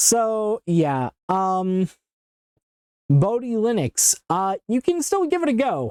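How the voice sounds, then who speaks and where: Very slow and very even in loudness, this woman's fairly high voice has a dark, mellow tone and very wide pitch swings, recorded with a dry, close sound and no echo. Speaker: tech YouTuber testing Linux distributions. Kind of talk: live stream tutorial. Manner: stutters and trips over words; hesitant, many fillers.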